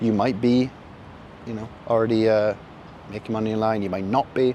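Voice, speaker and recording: Noticeable background noise sits under a man's voice. He talks at medium pitch and a moderate pace. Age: 20s. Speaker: vlogger. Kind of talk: casual vlog monologue. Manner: casual, animated.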